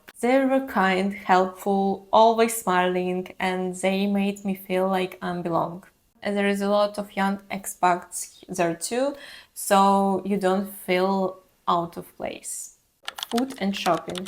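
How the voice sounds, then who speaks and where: In a very clean recording with a silent background, a woman speaks very slowly at a medium pitch, her intonation fairly even. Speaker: travel vlogger. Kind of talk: casual vlog monologue.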